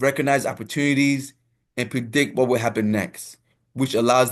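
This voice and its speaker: A man with an African accent, medium pitch, ordinary pitch variation and a moderate pace. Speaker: soccer coach. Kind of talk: lecture. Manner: reads slides aloud with filler asides.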